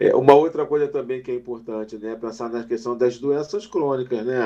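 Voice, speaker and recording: A man's dark, mellow, medium-pitched voice with ordinary pitch variation at a moderate pace over a quiet background. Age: 50s. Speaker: mental health specialist. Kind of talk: casual chat. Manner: halting.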